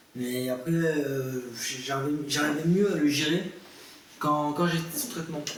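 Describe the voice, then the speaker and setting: With audible room echo and noticeable background noise, a man talks at a fairly high pitch. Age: 20s. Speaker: young adult with mental illness. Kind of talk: interview testimony. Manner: halting, many hesitations.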